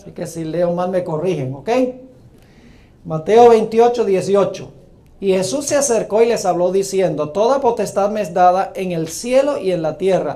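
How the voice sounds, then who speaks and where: Audible room echo frames a man speaking at a moderate pace, his pitch high with ordinary variation. His loudness swings widely. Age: 60s. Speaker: preacher. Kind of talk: sermon.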